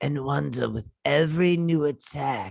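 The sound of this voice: Someone does a raspy put-on character voice, low-to-middle in pitch, at a moderate pace.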